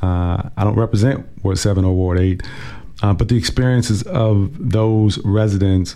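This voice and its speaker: Noticeable background noise sits behind the recording. A man speaks at a fairly low pitch with ordinary pitch variation. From Washington, DC. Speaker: city councilmember. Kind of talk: casual interview. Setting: radio studio.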